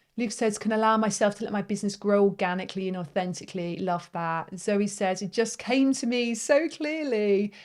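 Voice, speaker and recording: A woman with a British accent speaks at a medium pitch and a fairly quick pace, with hardly any pauses. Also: ordinary pitch variation. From Britain. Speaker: face yoga teacher and business coach. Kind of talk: live webinar workshop. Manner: warm, encouraging.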